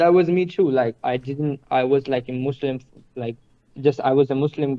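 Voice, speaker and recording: A man with an Indian accent, fairly high-pitched, fairly quick in pace, with fairly even intonation. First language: Hindi. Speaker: stranger from online chat. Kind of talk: casual chat.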